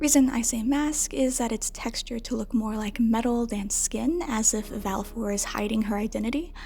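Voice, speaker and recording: Someone whispers quietly at a moderate pace over noticeable background noise. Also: woman. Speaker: video essayist. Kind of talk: video essay commentary. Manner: whispered, quiet.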